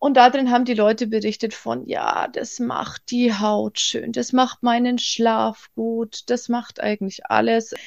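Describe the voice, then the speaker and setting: A woman speaks at a very slow pace with hardly any pauses. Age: 30s. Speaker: business owner selling red light therapy devices. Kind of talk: interview.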